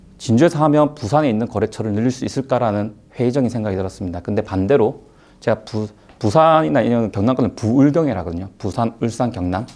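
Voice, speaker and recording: Against a quiet background, the speaker talks at a very fast pace with ordinary pitch variation and a slight Gyeongsang accent. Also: man, medium pitch for a man. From South Gyeongsang, Korea (Hadong/Jinju). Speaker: tax accountant, lecturer. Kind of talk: online lecture. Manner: hesitant, many fillers.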